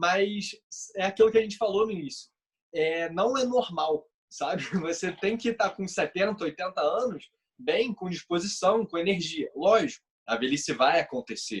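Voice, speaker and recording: A man's high-pitched voice with a Brazilian accent, lively intonation and a moderate pace. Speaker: health podcast co-host. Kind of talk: casual podcast conversation.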